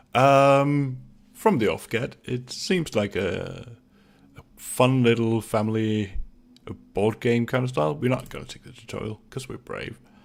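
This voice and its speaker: A man's medium-pitched voice with a Danish accent and ordinary pitch variation. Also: long, frequent pauses, big swings in loudness. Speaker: gaming YouTuber. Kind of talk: casual gameplay commentary.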